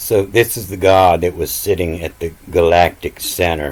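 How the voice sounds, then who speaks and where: With noticeable background noise behind him, a man with a very deep, low pitch speaks at a fairly slow pace. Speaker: self-taught esoteric Bible teacher. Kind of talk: video lecture. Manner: hesitant, filler-heavy.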